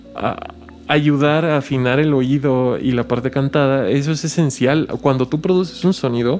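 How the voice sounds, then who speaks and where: A man with a Mexican accent speaks at a fairly slow pace, his pitch fairly high. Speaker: music teacher and composer. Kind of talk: casual conversation.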